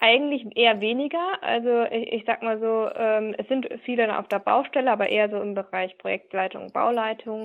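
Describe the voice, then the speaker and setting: A woman speaks at a moderate pace. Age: 20s. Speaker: business process manager. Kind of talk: interview. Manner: hesitant with fillers.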